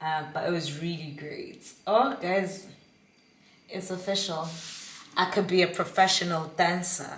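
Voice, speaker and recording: Over light background noise and audible room echo, a woman with a fairly low, somewhat breathy voice speaks with fairly even intonation, long, frequent pauses and big swings in loudness. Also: fairly slow pace. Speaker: vlogger. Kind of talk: casual vlog monologue. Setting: at home on couch. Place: kitchen. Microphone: phone near.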